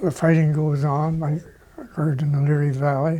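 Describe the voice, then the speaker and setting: A man with a Canadian accent talks at a fairly slow pace in a flat monotone, his fairly high voice somewhat breathy. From Ontario, Canada. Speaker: war veteran, army doctor. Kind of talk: interview answer.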